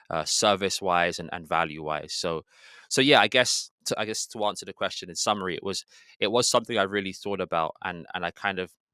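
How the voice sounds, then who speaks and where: Speaking at a fairly quick pace with a British accent, a man with a fairly low pitch and a bright, sharp tone shows ordinary pitch variation in a dry, close recording with no echo and a very clean, silent background. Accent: British, remarked on. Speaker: real estate agent. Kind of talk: interview answer.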